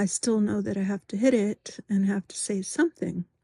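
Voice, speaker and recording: This woman's voice is somewhat breathy and fairly high in pitch. Her pitch varies in an ordinary way. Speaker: vlogger. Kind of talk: personal video diary. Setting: home office at night. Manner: halting, many ums and pauses.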